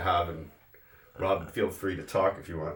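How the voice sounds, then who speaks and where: A man speaks in a somewhat breathy voice. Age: 50s. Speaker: home cook. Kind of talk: cooking tutorial. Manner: casual, halting.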